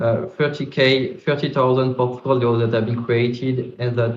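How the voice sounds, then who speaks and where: A man with a French accent, medium pitch, fairly even intonation and a fairly slow pace. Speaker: crypto startup founder. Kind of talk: panel discussion.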